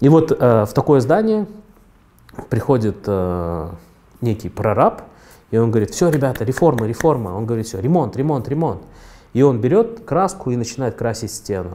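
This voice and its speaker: Pausing long and often, a man speaks at a moderate pace with lively intonation. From Kyrgyzstan. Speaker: entrepreneur; interviewee. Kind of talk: interview monologue. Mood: calm, thoughtful, mildly ironic. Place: studio. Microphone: lapel.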